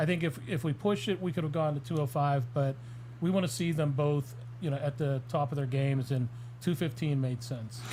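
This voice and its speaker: His voice is fairly high for a man, with a dark, mellow tone and a somewhat breathy quality. He keeps his loudness very even and his pitch varies in an ordinary way. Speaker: fight matchmaker. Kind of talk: casual podcast chat. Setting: live stream. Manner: stuttering tonight.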